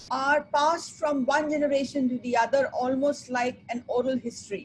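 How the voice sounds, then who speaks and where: Speaking with a high pitch, a woman keeps her intonation fairly even. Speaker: sustainability consultant. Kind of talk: webinar presentation. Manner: fast.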